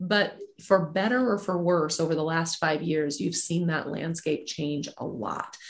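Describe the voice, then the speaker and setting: With a plain, everyday voice, a woman talks at a fairly slow pace in a fairly low pitch, showing ordinary pitch variation. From moved around; Alabama and Nebraska. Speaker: sports executive. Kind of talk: interview.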